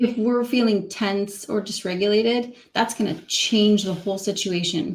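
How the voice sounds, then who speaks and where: A woman speaks at a medium pitch and moderate pace, somewhat breathy, with hardly any pauses. Her intonation is fairly even, and the recording is very clean with a silent background. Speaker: communication specialist. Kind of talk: casual interview.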